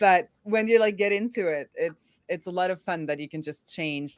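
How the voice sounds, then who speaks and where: A woman with an American accent talks at a moderate pace with ordinary pitch variation. The recording is very clean, with a silent background. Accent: sounds American. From Norway. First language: Norwegian. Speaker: developer advocate. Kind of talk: live coding stream chat. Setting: live stream.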